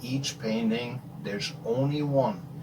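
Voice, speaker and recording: Over noticeable background noise, a man with a German accent speaks very slowly at a medium pitch, his intonation lively. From Germany, Rhine region. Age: 50s. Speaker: abstract painter. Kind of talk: casual Q&A monologue.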